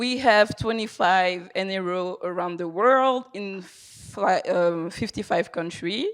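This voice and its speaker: A woman speaks at a very slow pace with medium pitch and ordinary pitch variation, hardly pausing at all. The recording is very clean, with a silent background. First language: not English. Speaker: charity fundraiser. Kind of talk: conference presentation. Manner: halting.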